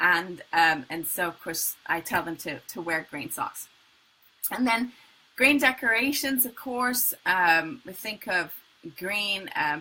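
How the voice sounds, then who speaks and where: Speaking very slowly with an American accent, a woman with a bright, sharp tone at medium pitch makes very wide pitch swings and big swings in loudness. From England. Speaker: color healer and spiritual coach. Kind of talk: live online talk. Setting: live video stream.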